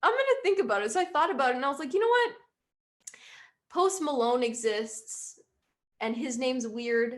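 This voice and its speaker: A woman's high-pitched voice with lively intonation at a moderate pace, broken by long, frequent pauses. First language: Hungarian. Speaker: musician. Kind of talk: interview.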